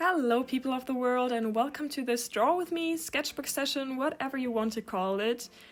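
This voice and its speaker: A woman's high voice with a German accent, moderately paced with hardly any pauses and ordinary pitch variation, on a very clean recording with a silent background. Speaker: art YouTuber. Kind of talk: casual chat while drawing.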